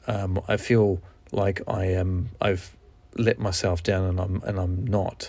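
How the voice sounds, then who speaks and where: This man has a somewhat breathy, fairly low voice with a New Zealand accent and fairly even intonation. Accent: New Zealand (Kiwi). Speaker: podcast host. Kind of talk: solo podcast monologue, casual. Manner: halting, with fillers.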